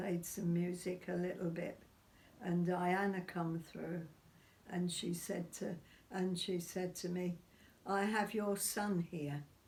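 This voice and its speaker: Someone talks very slowly in a somewhat breathy, flat monotone. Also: woman, fairly low pitch for a woman. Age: 80s+. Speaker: witness of seance phenomena. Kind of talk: interview answer.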